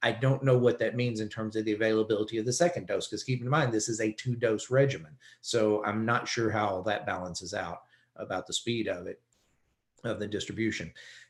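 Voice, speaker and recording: Here is a man with a plain, everyday voice at medium pitch. He talks at a fairly quick pace with ordinary pitch variation. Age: 60s. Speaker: economist. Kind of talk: webinar presentation. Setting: webinar.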